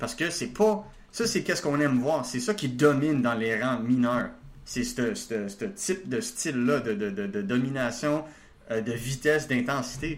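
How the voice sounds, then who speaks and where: In a room with audible echo, a man at a medium pitch speaks fairly slowly with lively intonation. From Quebec, Laval. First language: not French (speaking French). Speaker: hockey prospects analyst. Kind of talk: casual chat. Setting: video call.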